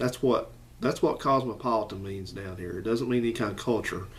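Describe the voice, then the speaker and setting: There is audible room echo as a man talks with a strong Southern US accent. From US South, Alabama (Madison/Huntsville area). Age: 40s. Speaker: YouTuber. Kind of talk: casual commentary vlog.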